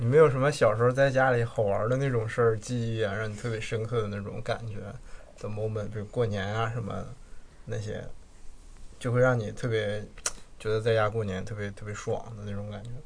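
With a northeastern Mandarin accent, a man talks at a fairly quick pace in a somewhat breathy, medium-pitched voice, his intonation monotone and flat, broken by long, frequent pauses amid audible room echo. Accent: noticeable northeastern Mandarin. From Jilin city, northeast China. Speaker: podcast co-host. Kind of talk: casual chat.

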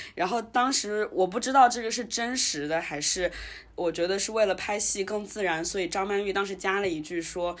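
A woman speaks in an ordinary speaking voice at medium pitch, with ordinary pitch variation. Her pace is fairly quick. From Wuhan, China. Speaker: podcast host. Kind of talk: casual chat.

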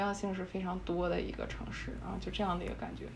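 A woman speaks at a very fast pace with audible room echo. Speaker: architecture industry professional. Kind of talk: casual chat.

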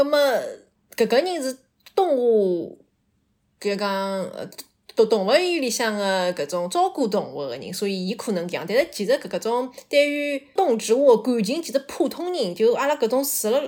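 A woman speaks at a fairly slow pace with a fairly high pitch. Her pitch swings very widely. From Shanghai. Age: 30s. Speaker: storyteller guest. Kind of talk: personal storytelling. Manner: halting.

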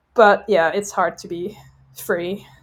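A woman speaks at medium pitch. She has a Dutch accent. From Netherlands. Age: 30s. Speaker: veterinary student. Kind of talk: casual chat. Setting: at her parents' house. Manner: fast.

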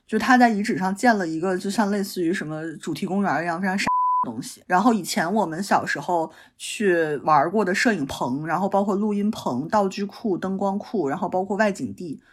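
Speaking with a slight northeastern Chinese accent, a woman talks at a moderate pace with hardly any pauses. Her pitch is medium, with ordinary pitch variation. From Northeast China, Changchun (Jilin). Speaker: podcast guest. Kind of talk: casual chat.

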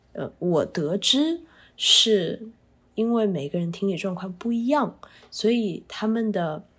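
At a very slow pace, a woman talks in a somewhat breathy voice. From China. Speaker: special education teacher. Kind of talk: casual chat.

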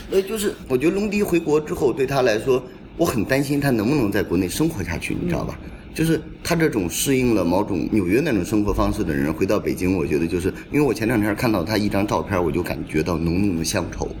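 A man's fairly low voice at a very fast pace, with very wide pitch swings and noticeable background noise. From northern Jiangsu, Xuzhou area. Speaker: curator. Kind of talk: casual chat. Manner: animated.

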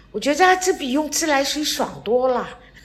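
A woman talks at a very slow pace. Audible room echo and noticeable background noise surround her. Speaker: retiree, host's mother. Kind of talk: casual chat.

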